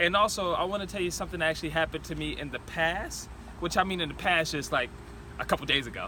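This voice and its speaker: With an American accent, a man speaks at a very fast pace against noticeable background noise. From North Carolina, near Fayetteville. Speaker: entrepreneur vlogger. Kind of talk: motivational vlog talk. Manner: halting, stuttering.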